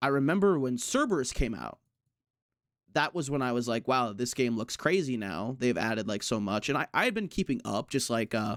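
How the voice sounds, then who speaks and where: Lively intonation marks a man's medium-pitched speech at a fairly quick pace. The recording is very clean, with a silent background. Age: 20s. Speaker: video game streamer. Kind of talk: casual podcast interview. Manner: halting, many restarts.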